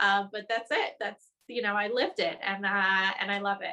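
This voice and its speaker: Bright and sharp in tone, a woman's voice sits at medium pitch. She speaks at a moderate pace with fairly even intonation. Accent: New Jersey. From New Jersey, US. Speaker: journalist. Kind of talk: webinar interview.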